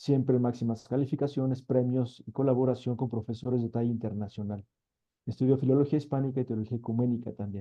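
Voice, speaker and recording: The speech races along at a very fast pace with monotone, flat intonation. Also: man, medium pitch for a man. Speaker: seminar moderator. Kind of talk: event introduction.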